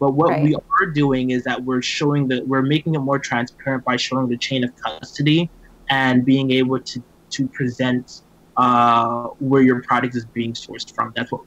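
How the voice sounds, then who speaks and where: A man with a normal speaking voice and an American accent, medium pitch, fairly even intonation, moderate pace. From US South, Miami. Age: 20s. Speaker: tech startup founder. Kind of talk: interview.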